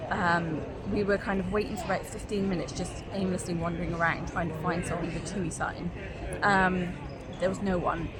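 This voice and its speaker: A woman's monotone, flat delivery at a fairly quick pace, with noticeable background noise and audible room echo. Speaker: travel vlogger. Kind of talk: casual vlog. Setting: airport. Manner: quiet.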